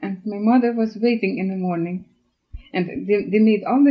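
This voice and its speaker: The woman's voice is somewhat breathy and sits at a medium pitch. She keeps a moderate pace, her pitch varying in an ordinary way. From Russia, German colonist village. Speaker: oral history interviewee. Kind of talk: life story interview.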